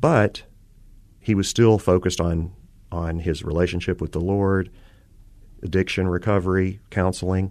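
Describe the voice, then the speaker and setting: A man with a very deep, low voice talks at a moderate pace with fairly even intonation. Long, frequent pauses break up his speech against a quiet background. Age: 50s. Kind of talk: radio interview. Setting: studio. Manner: halting.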